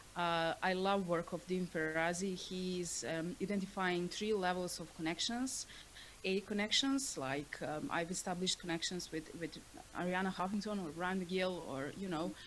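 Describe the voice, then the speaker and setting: The speaker talks with a non-native accent. Pitch variation is ordinary and the pace moderate. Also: woman, medium pitch for a woman. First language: not English. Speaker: author and panelist. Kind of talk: panel discussion. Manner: halting.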